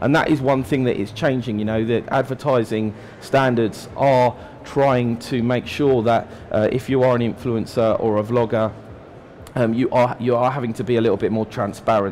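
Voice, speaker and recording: With a British accent, the speaker keeps a moderate pace and fairly even intonation against noticeable background noise. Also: man. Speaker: digital marketing strategist giving a talk. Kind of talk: conference talk. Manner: many fillers, hesitant.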